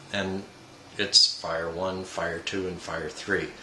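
With audible room echo and light background noise, a man speaks fairly slowly at a fairly low pitch. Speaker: product reviewer. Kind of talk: review talk to camera. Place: home room. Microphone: camera far.

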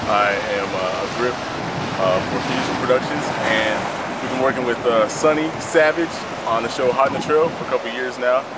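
A man speaks at a fairly quick pace with ordinary pitch variation. Loud background noise runs underneath. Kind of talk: interview answer. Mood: friendly, relaxed. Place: beach. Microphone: camera far.

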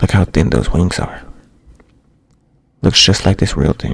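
A man whispers, soft-spoken, with vocal fry. The sound is dry with no echo. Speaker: ASMR creator. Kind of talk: ASMR manga reading with casual commentary. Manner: soft-spoken, whispering. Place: home room. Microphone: studio mic.

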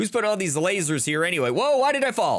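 A man's voice at a very fast pace. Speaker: gaming youtuber. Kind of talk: let's play commentary. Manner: animated.

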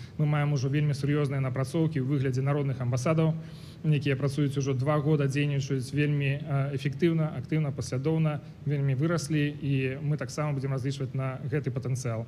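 Somewhat breathy and dark, mellow in tone, a man speaks fairly quickly in a fairly high, monotone, flat voice, with audible room echo. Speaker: opposition politician, diplomat. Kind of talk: formal speech. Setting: conference stage with audience.

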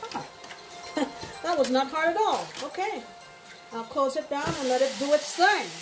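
Clear music plays behind a woman as she talks. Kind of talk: cooking tutorial. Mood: relaxed, cheerful. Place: kitchen. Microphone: camera far.

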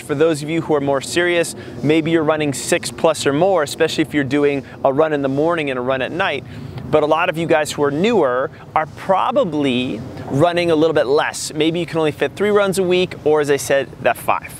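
Against light background noise, a man talks at a fairly quick pace with ordinary pitch variation in a dry sound with no echo. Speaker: running coach. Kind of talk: tutorial. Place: open country. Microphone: lapel.

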